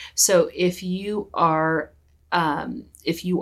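Recorded very cleanly against a silent background, a woman with an American accent speaks with ordinary pitch variation. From California, US. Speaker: psychologist and equity consultant. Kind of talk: interview.

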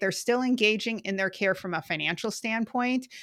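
The speaker has an American accent and a bright, sharp tone, with ordinary pitch variation at a moderate pace. The recording is very clean, with a silent background. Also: woman. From Western Wisconsin. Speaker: health center finance executive. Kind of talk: interview.

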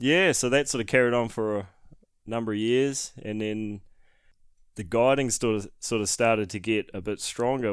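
A man with a New Zealand accent speaks at a fairly quick pace. His intonation stays fairly even. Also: very clean recording, silent background. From New Zealand, Northland (Whangarei). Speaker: hunting guide and videographer. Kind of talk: casual chat.

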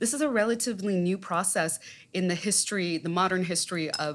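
A woman's medium-pitched voice with an American accent, lively intonation and a moderate pace. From Southern California, US (West Covina). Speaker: journalist, poet and scholar. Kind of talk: interview conversation.

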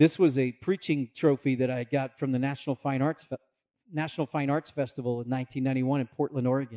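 Using an ordinary speaking voice, a man with an American accent and medium pitch talks at a fairly quick pace with fairly even intonation. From Maine (US Northeast). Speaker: pastor. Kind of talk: sermon.

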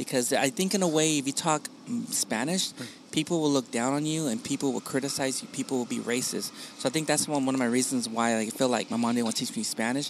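Over noticeable background noise, a man talks at a fairly quick pace, medium pitch and ordinary pitch variation. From Long Beach and Wilmington, California; Mexican-American. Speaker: podcaster. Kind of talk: casual chat. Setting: outdoor patio of a coffee shop.

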